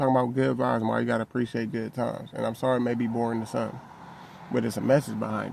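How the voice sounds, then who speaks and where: Talking at a very fast clip, a man is heard over noticeable background noise. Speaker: men's mental health YouTuber. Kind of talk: casual monologue vlog.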